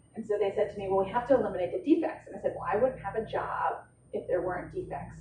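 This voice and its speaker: Talking at a very fast pace, a woman swings widely in loudness while noticeable background noise runs underneath. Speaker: healthcare finance director presenting at a conference. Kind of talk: conference presentation. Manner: fast, conversational with fillers.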